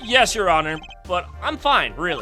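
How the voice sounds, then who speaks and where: A put-on character voice sounds strained while moving at a moderate pace. Clear music plays in the background. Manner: nervous, stammering.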